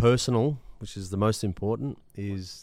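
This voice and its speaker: With an Australian accent, a man speaks in a dark, mellow tone at a fairly slow pace. His intonation stays fairly even on a very clean recording with a silent background. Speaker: fitness franchise executive. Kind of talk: interview. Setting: recording studio.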